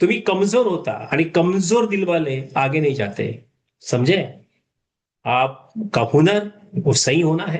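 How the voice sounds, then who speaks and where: The voice swings very widely in pitch and carries vocal fry. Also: man. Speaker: retired management professor, motivational speaker. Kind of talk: motivational talk. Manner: casual, code-switching with English and Hindi.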